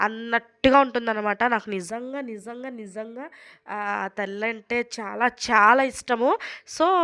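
Over a quiet background, a woman's bright, sharp, fairly high voice keeps a fairly even intonation while her loudness swings widely. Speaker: family vlogger. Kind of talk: vlog narration. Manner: casual, chatty.

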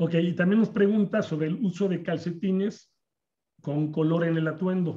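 A man with a Mexican accent talks at a moderate pace in a high voice with a dark, mellow tone, the background quiet. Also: fairly even intonation. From Mexico. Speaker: insurance agents association organizer. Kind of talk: webinar moderation. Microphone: video call.

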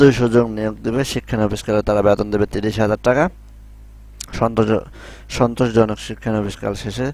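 A man speaks with a fairly low pitch and a monotone, flat intonation. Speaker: YouTuber explaining job circulars. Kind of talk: tutorial. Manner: casual, repetitive with filler phrases.

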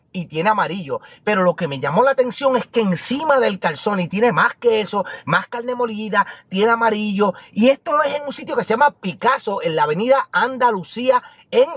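A man at a fairly quick pace, dry sound with no echo and a quiet background. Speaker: food vlogger. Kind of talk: casual vlog chat. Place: car.

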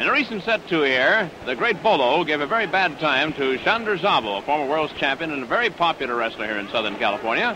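An enthusiastic man talks at a very fast pace with hardly any pauses, his fairly high voice making very wide pitch swings. The sound is dry with no echo, though noticeable background noise is present. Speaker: wrestling commentator. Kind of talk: live sports commentary. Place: stadium. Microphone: studio mic.

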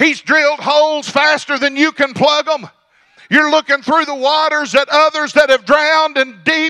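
At a moderate pace, a man speaks in a raised, projected voice with an extremely high pitch and a bright, sharp tone, over a quiet background. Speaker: pastor. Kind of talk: sermon. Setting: church service. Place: church. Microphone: handheld.

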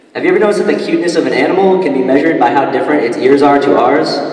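A man's speech rings with audible room echo. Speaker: student comedian. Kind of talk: stand-up comedy routine. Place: hall. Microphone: handheld.

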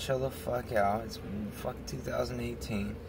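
A man talks at a moderate pace over noticeable background noise, the sound dry with no echo. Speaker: vlog co-host. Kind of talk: casual conversation. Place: car. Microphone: phone near.

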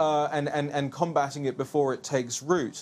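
This is a man speaking with a London accent. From England, West London. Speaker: political commentator. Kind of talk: TV interview. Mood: assertive, opinionated. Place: studio. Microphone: lapel.

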